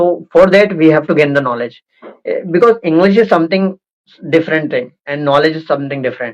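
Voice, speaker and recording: Speaking with an Indian accent, a man uses a fairly high pitch, ordinary pitch variation and a fairly quick pace. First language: Hindi. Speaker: interviewer, English-speaking channel host. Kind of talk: casual interview conversation. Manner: halting, many fillers.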